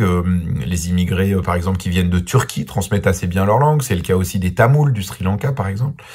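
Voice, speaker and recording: Intonation here is lively. The pace is fairly quick. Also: man. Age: 40s. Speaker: journalist and documentary maker. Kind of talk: interview answers. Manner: hesitant, many filler sounds.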